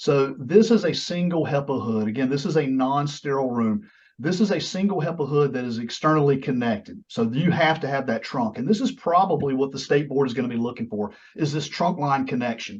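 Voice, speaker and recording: Somewhat breathy, a man speaks at a fairly high pitch with lively intonation. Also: fairly quick pace. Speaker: compounding pharmacy design consultant. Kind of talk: webinar presentation. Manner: fast.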